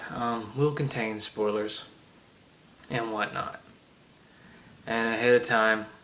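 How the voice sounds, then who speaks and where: A man with an American accent speaks at a medium pitch with fairly even intonation and long, frequent pauses over noticeable background noise. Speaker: gaming video creator. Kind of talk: solo rant to camera. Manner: halting, many fillers.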